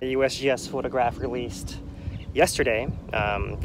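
A man speaks with fairly even intonation. The sound is dry with no echo, but noticeable background noise comes through. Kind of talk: casual commentary. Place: plane. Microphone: headset.

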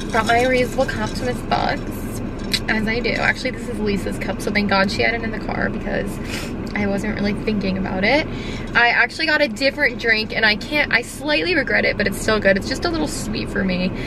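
Against loud background noise, a woman talks at a very fast pace with ordinary pitch variation, the sound dry with no echo. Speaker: vlogger. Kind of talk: casual vlog chat. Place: car. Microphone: phone near.

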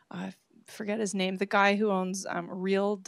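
Against a quiet background, a woman talks, the sound dry with no echo. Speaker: speaker. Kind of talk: Q&A answer at a public talk. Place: hall. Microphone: handheld.

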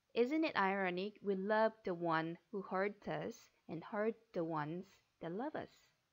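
A woman with a Korean accent speaks at a medium pitch and a fairly slow pace. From South Korea. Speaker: flight attendant interview coach. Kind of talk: tutorial. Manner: halting.

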